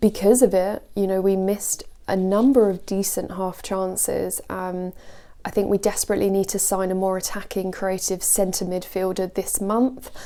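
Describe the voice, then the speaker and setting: A soft-spoken woman talks in a dark, mellow tone. Her intonation is monotone and flat. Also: medium pitch for a woman, moderate pace. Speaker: football vlogger. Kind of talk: casual video commentary.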